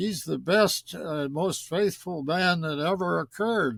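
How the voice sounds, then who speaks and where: A man with an American accent speaks very slowly in a fairly high pitch with lively intonation, on a very clean recording with a silent background. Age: 80s+. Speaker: cave explorer. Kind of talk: interview answer.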